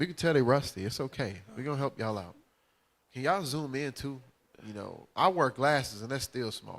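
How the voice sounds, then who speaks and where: Over a very clean recording with a silent background, a man with a Southern US accent and a medium pitch speaks at a fairly quick pace in an animated tone, with lively intonation and big swings in loudness. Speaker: bible teacher. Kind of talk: religious class teaching. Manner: casual, animated.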